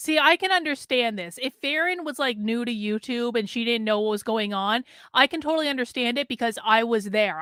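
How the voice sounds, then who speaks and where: With a Vermont accent, a woman talks at a fairly quick pace in a fairly high, bright, sharp voice, her tone animated and her intonation lively, in a very clean recording with a silent background. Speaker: political commentator streamer. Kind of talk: casual live stream commentary.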